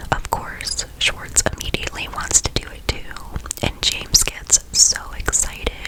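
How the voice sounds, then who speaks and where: The whispering comes through noticeable background noise. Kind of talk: ASMR TV recap. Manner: whispered.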